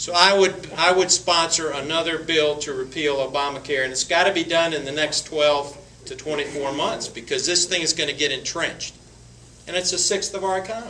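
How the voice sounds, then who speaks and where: A man in an Appalachian accent, high-pitched and fairly quick, with fairly even intonation and noticeable background noise. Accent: Southern US (Appalachian North Carolina). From western North Carolina. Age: 60s. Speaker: congressional candidate. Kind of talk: Q&A at political forum. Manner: halting, many repetitions and fillers.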